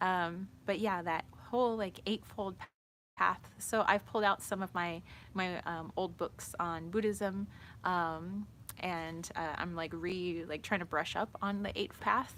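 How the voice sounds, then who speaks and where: A woman with an American accent, fairly slow and fairly even in intonation, on a very clean recording with a silent background. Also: fairly low pitch for a woman. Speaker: spiritual tarot reader livestreamer. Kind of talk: casual livestream chat. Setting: outdoors in the shade. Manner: rambling with many fillers.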